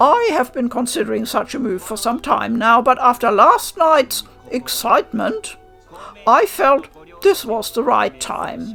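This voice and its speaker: With faint music in the background, a woman in a put-on character voice speaks at a high pitch and a fairly slow pace. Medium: read story. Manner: formal, haughty.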